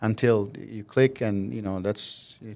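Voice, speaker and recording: With an Albanian accent, a man speaks in a fairly low pitch and a dark, mellow tone. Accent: Albanian, Southern European. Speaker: mortgage broker, company CEO. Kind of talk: interview. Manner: hesitant fillers.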